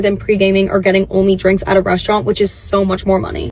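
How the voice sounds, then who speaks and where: Noticeable background noise behind a woman's very fast pace. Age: 20s. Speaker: social media creator. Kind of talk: casual vlog talk.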